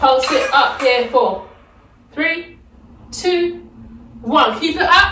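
Clear music plays behind a woman speaking in a raised, projected voice. Her pace is very slow. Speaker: fitness instructor. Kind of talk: workout instruction with counting. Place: home room. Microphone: camera far.

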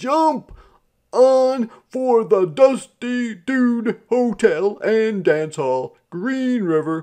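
A man's loud, very slow put-on character voice, high in pitch, with a dark, mellow tone and lively intonation

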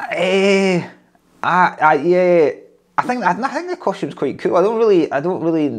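A man with a Scottish accent talks at a moderate pace in a high voice with lively intonation. He takes long, frequent pauses against a quiet background. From Scotland. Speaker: stand-up comedian. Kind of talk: interview answer. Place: office.

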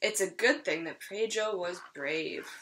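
Her tone fairly bright, a woman speaks at a fairly slow pace. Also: fairly low pitch for a woman, ordinary pitch variation.

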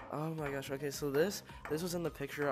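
Clear music plays in the background behind speech with fairly even intonation. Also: man. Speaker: gamer. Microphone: headset.

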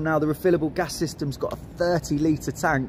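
The speaker moves at a moderate pace. Light background noise sits behind the voice. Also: man. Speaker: presenter. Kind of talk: walk-around product tour. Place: hall. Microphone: phone near.

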